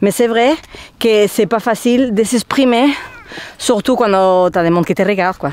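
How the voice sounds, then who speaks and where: With a Spanish accent, a woman reads at a fairly slow pace with long, frequent pauses, very even loudness and ordinary pitch variation over noticeable background noise. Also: fairly high pitch for a woman. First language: Spanish (speaking French). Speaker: travel vlogger. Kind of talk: vlog talking to camera. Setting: outdoors.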